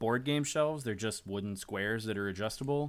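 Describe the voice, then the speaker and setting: A man with a fairly low pitch talks at a fairly quick pace in a normal speaking voice, with ordinary pitch variation, in a very clean recording with a silent background. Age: 30s. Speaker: tabletop game developer and podcast host. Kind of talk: casual chat.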